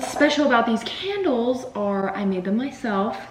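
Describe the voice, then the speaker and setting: This woman talks at a fairly slow pace, and noticeable background noise can be heard. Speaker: cooking vlogger. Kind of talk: casual cooking vlog. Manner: chatty.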